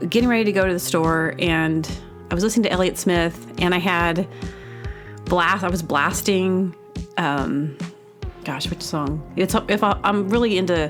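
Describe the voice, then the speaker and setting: The speech moves at a moderate pace with long, frequent pauses and ordinary pitch variation. Music plays in the background. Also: woman, fairly low pitch for a woman. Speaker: comedy podcast host. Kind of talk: casual monologue to listeners.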